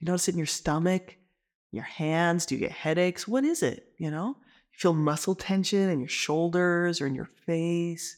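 A woman with an unremarkable speaking voice talks at a moderate pace. Her pitch is fairly low, with ordinary variation. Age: 30s. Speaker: licensed marriage and family therapist. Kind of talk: educational talk. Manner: conversational.

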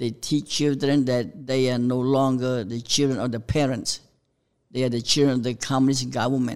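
Speaking at a moderate pace, a man holds a medium pitch with fairly even intonation. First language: Khmer. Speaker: pastor. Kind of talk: testimony. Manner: halting.

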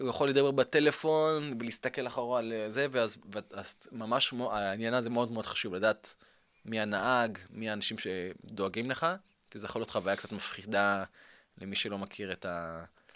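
A man's plain, everyday voice at a moderate pace, medium in pitch with ordinary pitch variation. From Israel. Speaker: tour company owner. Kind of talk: interview. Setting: studio.

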